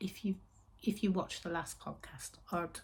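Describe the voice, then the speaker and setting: A woman with a West Midlands accent speaks at a medium pitch, somewhat breathy, with a dark, mellow tone. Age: 60s. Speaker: knitting and yarn vlogger. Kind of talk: casual chat. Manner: chatty, meandering.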